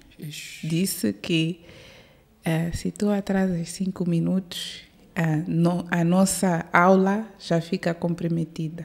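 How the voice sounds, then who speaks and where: A woman speaks at a very slow pace in a fairly low, somewhat breathy voice with monotone, flat intonation. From born in Maputo, raised in South Africa from age 5 to 22. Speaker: airline captain; guest. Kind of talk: interview. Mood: relaxed, smiling. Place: studio. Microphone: studio mic.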